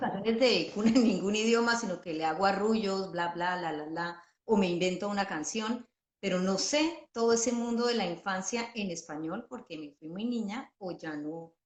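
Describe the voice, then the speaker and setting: The speaker has a plain, everyday voice with ordinary pitch variation and a moderate pace. Loudness swings widely. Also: woman, medium pitch for a woman. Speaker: journalist and children's author. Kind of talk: interview question.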